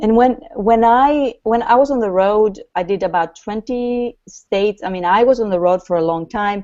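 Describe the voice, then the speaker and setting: In a quiet background, a woman speaks with a non-native accent at a fairly slow pace. Her voice is fairly high, with ordinary pitch variation. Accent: noticeable foreign. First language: not English. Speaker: author and grief coach. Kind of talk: interview.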